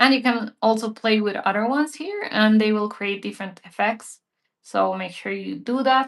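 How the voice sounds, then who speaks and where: Against a quiet background, a woman speaks in a normal speaking voice at a moderate pace. Her pitch sits fairly high, with ordinary pitch variation. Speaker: digital art teacher. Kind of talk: live painting tutorial. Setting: livestream.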